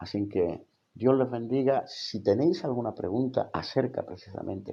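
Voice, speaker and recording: Speaking fairly slowly, a man talks with a Spanish accent. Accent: Spanish (Spain). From Spain. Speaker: theology college rector and evangelical teacher. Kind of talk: livestream Bible teaching. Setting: live stream on social media. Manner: hesitant, many fillers.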